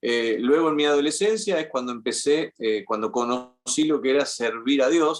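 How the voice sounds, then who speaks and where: Speaking at a moderate pace, a man has a plain, everyday voice of medium pitch. His intonation is lively. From Argentina. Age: 50s. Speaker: journalist. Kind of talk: interview conversation. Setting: podcast interview.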